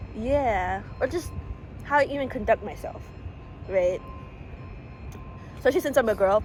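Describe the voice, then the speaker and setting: A woman with an American accent speaks at a moderate pace, leaving long, frequent pauses. Music plays in the background. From USA. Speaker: American-born Chinese student. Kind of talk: casual chat. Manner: expressive, animated; loud.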